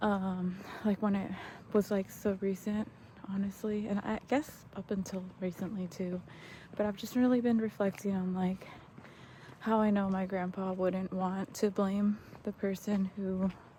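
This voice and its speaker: The voice is soft-spoken, with fairly even intonation. It moves at a moderate pace. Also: woman, long, frequent pauses. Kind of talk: casual vlog monologue. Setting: outdoors, walking at night. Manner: hesitant, many fillers.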